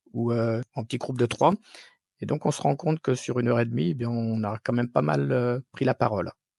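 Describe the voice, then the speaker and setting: In a dry, close sound with no echo, a man with a dark, mellow tone speaks at a fairly quick pace with lively intonation. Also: medium pitch for a man. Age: 50s. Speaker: technical development manager. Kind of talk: testimonial interview answer. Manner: hesitant, many fillers.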